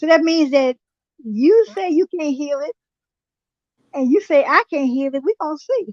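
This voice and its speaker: Speaking with an American accent, a woman with a high pitch uses lively intonation and long, frequent pauses, in a dry, close sound with no echo. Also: moderate pace. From US, raised during segregation. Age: 70s. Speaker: health and diet guest. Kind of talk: interview.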